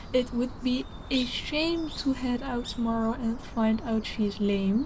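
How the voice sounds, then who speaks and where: Against noticeable background noise, a woman speaks at a fairly slow pace with a high pitch and ordinary pitch variation. Her loudness stays very even. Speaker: gaming roleplay narrator. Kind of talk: roleplay vlog narration. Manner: soft-spoken.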